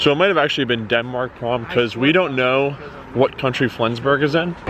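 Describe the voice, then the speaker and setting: A man talks at a fairly quick pace with medium pitch and ordinary pitch variation. His loudness stays very even over noticeable background noise. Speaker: travel vlogger. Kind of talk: travel vlog narration. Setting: train station at night.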